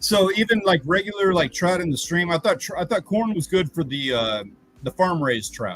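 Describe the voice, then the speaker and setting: This man's voice sits high in pitch for a man, and he speaks at a moderate pace. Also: lively intonation. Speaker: livestream host. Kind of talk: casual chat. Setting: livestream. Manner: loud.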